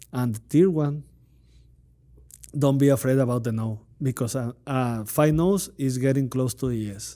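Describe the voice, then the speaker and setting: Speaking with a Spanish accent in a dark, mellow tone, a man at a medium pitch keeps a moderate pace with ordinary pitch variation and long, frequent pauses. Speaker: podcast host. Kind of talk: interview. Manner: halting.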